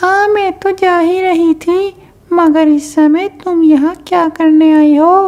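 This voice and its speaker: A woman does a cartoonish character voice at an extremely high pitch, speaking at a moderate pace with monotone, flat intonation. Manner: teasing, snappy.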